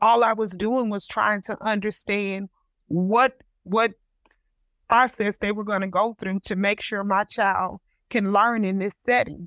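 In a Texas accent, a woman speaks at a medium pitch and a fairly slow pace with flat, monotone intonation and big swings in loudness, recorded very cleanly against a silent background with a dry, close sound and no echo. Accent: Southern US (Texas). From Houston, Texas. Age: 50s. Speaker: parent advocate. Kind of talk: panel discussion.

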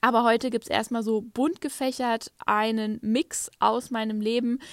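A woman speaks at a fairly high pitch. The sound is dry and close with no echo, in a very clean recording with a silent background. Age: 30s. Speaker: podcaster, digital nomad. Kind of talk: casual monologue. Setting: hotel room under a duvet at night.

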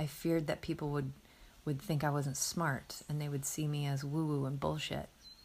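A woman speaks at a moderate pace in a very deep, low voice that is somewhat breathy, with a monotone, flat delivery. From US Midwest. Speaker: podcast host. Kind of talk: solo reflective monologue.

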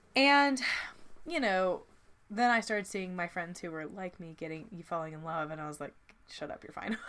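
At a moderate pace, a woman speaks with a medium pitch. Her speech has long, frequent pauses. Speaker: podcast co-host. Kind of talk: casual chat. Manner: talkative, chatty.

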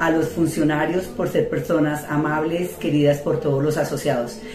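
Audible room echo and noticeable background noise fill the recording. A woman with a very deep, low pitch speaks at a moderate pace. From Colombia, Cundinamarca (Anolaima). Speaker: cooperative board member. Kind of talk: recorded greeting message.

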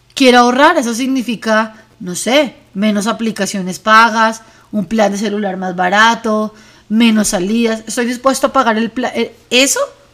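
A woman's normal speaking voice, fairly high in pitch, with fairly even intonation and a fairly slow pace. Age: 40s. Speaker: wellness podcast host. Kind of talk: reflective monologue.

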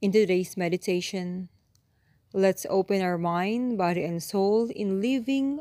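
A woman with a dark, mellow tone speaks at a fairly slow pace in a soothing, calm manner, medium in pitch with ordinary pitch variation. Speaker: meditation guide. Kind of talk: guided meditation. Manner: slow, soothing and calm; gentle, measured pace with long pauses between cues.

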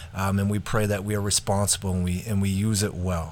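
On a very clean recording with a silent background, a man with a fairly low voice speaks at a fairly quick pace. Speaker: pastor and podcast host. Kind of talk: casual chat. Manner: halting.

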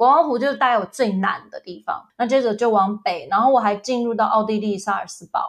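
A woman talks at a fairly quick pace with a fairly high pitch and ordinary pitch variation. Her loudness swings a lot. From US (ages 2 to 11), then Taiwan. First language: English (speaking Chinese). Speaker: travel agency owner and former English teacher. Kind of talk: casual interview chat.

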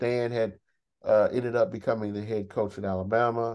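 The speaker is a man with an American accent. His pitch sits in the medium range. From Texas. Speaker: university track and field head coach. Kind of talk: interview. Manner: halting.

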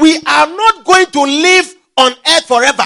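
A man speaks in a raised, projected voice at an extremely high pitch, with lively intonation, an animated tone and a bright, sharp timbre, recorded dry and close with no echo. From Ghana. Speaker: pastor. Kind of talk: sermon.

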